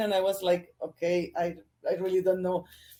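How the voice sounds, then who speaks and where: A woman's dark, mellow tone with a Spanish accent. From Colombia. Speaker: sports journalist. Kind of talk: interview. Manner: halting.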